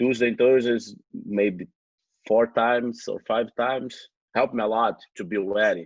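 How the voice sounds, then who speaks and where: A man with a Brazilian accent talks in fairly even intonation, leaving long, frequent pauses. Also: medium pitch for a man, moderate pace. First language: Portuguese. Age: 20s. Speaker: jiu-jitsu champion. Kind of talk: podcast interview. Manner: halting.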